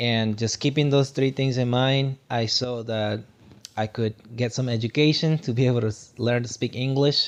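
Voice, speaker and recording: At a moderate pace, a man with a Guatemalan accent speaks at medium pitch with fairly even intonation. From Guatemala, rural sugarcane region. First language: Spanish. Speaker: tech worker and motivational speaker. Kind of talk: podcast interview.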